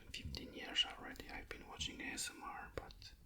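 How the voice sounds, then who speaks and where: Someone whispers in a calm, relaxed tone against noticeable background noise. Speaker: ASMR creator and miniature painter. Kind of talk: ASMR hobby painting talk to camera. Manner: whispered, calm, relaxed.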